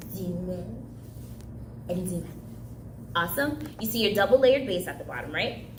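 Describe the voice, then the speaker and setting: A woman speaks at a moderate pace with big swings in loudness and long, frequent pauses, her voice carrying audible room echo. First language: Haitian Creole. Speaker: summer camp craft instructor. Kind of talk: craft tutorial.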